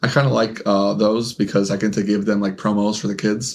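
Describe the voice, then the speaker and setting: A man mumbling at a moderate pace, his pitch fairly low. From Mexican-American, bilingual upbringing. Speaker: podcast co-host. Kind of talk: casual chat. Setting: podcast on camera. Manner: mumbles, stumbles over words.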